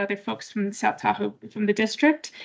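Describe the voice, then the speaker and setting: This is an ordinary speaking voice. It moves along fairly quickly. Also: woman. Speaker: engineering consultant, project manager. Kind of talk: public meeting presentation. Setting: public meeting with in-person and online audience.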